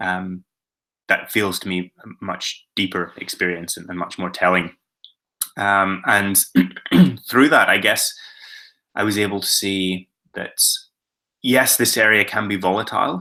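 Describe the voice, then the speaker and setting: In a Northern Irish accent, a man speaks at a fairly slow pace with a fairly low pitch, fairly even intonation, and long, frequent pauses. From Northern Ireland. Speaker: adventurer, filmmaker and author. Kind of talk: presentation to schoolchildren about his travels. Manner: hesitant, many filler words.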